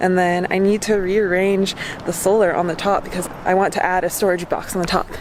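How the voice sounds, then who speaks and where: A woman's voice over noticeable background noise. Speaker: van life vlogger. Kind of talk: casual vlog chat. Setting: warehouse.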